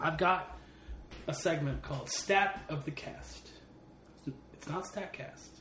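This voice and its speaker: With noticeable noise in the background, a man talks very slowly, leaving long, frequent pauses. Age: 30s. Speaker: sports podcast co-host. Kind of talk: casual chat. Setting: home.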